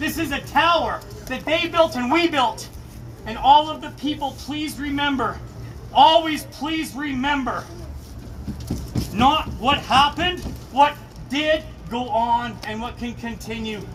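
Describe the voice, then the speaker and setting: A man speaks at an extremely high pitch and a fairly slow pace, with long, frequent pauses and big swings in loudness. Noticeable background noise runs under the recording. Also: ordinary pitch variation. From Canada, Kelowna, British Columbia. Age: 50s. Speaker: construction worker. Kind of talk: vigil speech. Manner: emotional, repetitive.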